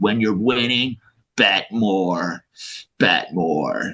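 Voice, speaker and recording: Raspy and very slow, the speaker uses a put-on character voice. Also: man, fairly low pitch for a man. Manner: gruff, pushy.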